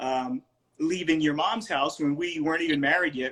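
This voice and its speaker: A man's plain, everyday voice, fairly high in pitch, with an American accent, lively intonation and a fairly quick pace. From US South. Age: 60s. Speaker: retired Air Force veteran and father. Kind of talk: casual chat. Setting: video call.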